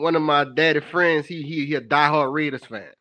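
The tone is bright and sharp, and the speech moves at a moderate pace. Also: man. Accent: New Orleans. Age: 20s. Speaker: caller. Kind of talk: phone-in call.

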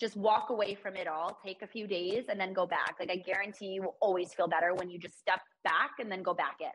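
A woman with a plain, everyday voice speaks at a fairly quick pace. Her pitch is medium. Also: fairly even intonation. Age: 20s. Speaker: podcast host and entrepreneur. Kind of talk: casual interview chat.

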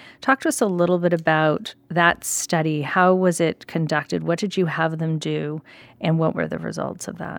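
A woman speaks at a moderate pace with fairly even intonation and a fairly low pitch, in a plain, everyday voice. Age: 40s. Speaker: podcast host and company executive. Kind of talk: interview.

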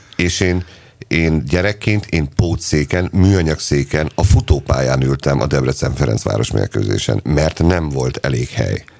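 At a fairly slow pace, a man with a very deep, low pitch speaks with lively intonation against noticeable background noise. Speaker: football podcast co-host. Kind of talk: casual chat. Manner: animated.

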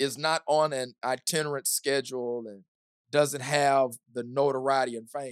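Monotone, flat delivery in an American accent at a moderate pace, with big swings in loudness and a dry, close sound with no echo. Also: man, medium pitch for a man. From US South, small-town Kentucky. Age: 40s. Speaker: pastor. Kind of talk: podcast interview conversation.

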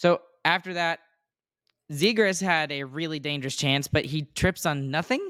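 A man speaks with ordinary pitch variation and long, frequent pauses, in a very clean recording with a silent background and a dry, close sound with no echo. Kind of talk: play-by-play recap of game action, like live commentary. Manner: animated, rapid-fire, excitable, rattling off plays.

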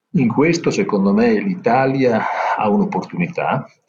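His pitch swings very widely as a man talks at a fairly slow pace. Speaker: insurance company executive. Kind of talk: interview.

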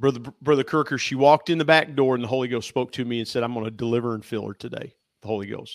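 A man with an American accent talks at a very fast pace and a medium pitch. His intonation is fairly even, and the recording is very clean with a silent background. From US Midwest, Ohio River valley. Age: 50s. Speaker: church elder. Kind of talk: faith testimony in casual interview.

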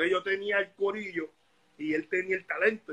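The man speaks with a bright, sharp tone. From Puerto Rico (Bayamón), born in Dominican Republic. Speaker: reggaeton artist. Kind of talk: casual interview.

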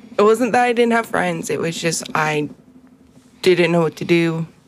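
Noticeable background noise sits behind a voice with ordinary pitch variation at a moderate pace. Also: woman, long, frequent pauses. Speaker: podcast co-host. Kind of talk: casual chat.

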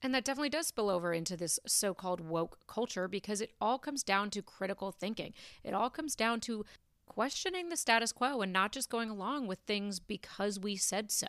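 An ordinary speaking voice moves at a fairly quick pace with lively intonation. The sound is dry and close, with no echo. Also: woman, fairly high pitch for a woman. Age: 30s. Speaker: podcast host. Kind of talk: solo monologue podcast. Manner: casual, conversational.

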